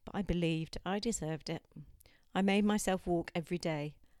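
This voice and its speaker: Moderate pace and ordinary pitch variation in a woman's plain, everyday voice, pitched fairly low. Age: 50s. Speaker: podcast host sharing personal mental health story.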